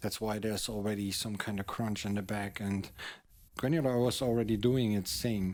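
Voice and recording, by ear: A man's slightly mellow voice, fairly low in pitch, with fairly even intonation at a moderate pace.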